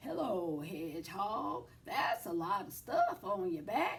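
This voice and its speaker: Over light background noise, a woman at medium pitch performs a croaky, put-on character voice. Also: fairly slow pace. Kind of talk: bedtime story. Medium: read story.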